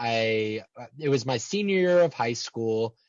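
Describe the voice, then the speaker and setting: A man's voice with lively intonation. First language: American Sign Language. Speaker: transpersonal psychologist. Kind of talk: interview. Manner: halting, many repeated words.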